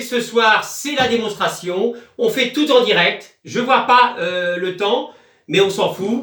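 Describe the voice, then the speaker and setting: The voice is loud and very slow, with very wide pitch swings. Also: man. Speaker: online sailing game community YouTuber. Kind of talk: casual live stream. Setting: small room at home. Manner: hesitant, many fillers. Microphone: no microphone.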